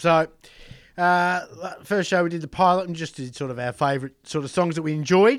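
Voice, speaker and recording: In an Australian accent, a man speaks high-pitched at a moderate pace. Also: ordinary pitch variation. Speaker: podcast co-host. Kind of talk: casual chat. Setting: studio.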